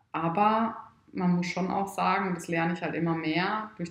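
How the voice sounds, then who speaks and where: A woman is heard over noticeable background noise. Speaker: wedding photographer and entrepreneur. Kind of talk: casual interview. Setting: at her home. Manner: loud at times.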